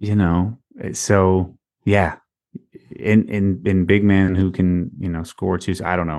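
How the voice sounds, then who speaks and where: A man with a very deep, low pitch talks at a fairly slow pace. His intonation stays fairly even, with long, frequent pauses. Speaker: podcast co-host. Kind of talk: casual chat.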